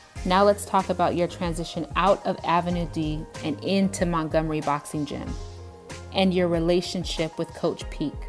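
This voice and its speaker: Over music in the background, a woman with a fairly low pitch speaks at a moderate pace with ordinary pitch variation. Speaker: interviewer. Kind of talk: channel intro and interview questions.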